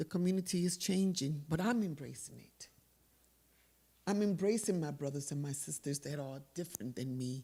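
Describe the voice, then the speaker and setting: Her voice is very deep and low in pitch, with a dark, mellow, somewhat breathy tone. The woman keeps a moderate pace and lively intonation. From Panama. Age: 60s. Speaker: audience member. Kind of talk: audience question.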